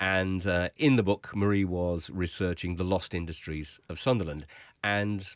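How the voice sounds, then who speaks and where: The sound is dry with no echo. The background is quiet. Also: man. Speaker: guest. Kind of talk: interview answer. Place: studio. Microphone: studio mic.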